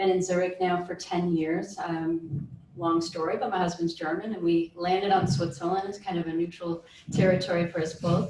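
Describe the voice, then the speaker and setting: A Chicago accent with monotone, flat intonation at a moderate pace, amid audible room echo and noticeable background noise. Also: woman, fairly low pitch for a woman. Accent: Chicago American English. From US Midwest, Chicago area. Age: 30s. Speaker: cloud computing specialist. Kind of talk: panel discussion. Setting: stage with audience.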